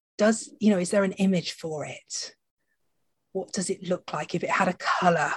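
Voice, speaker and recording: Ordinary pitch variation marks a woman's speech, which sounds somewhat breathy. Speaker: podcast host. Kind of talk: casual chat.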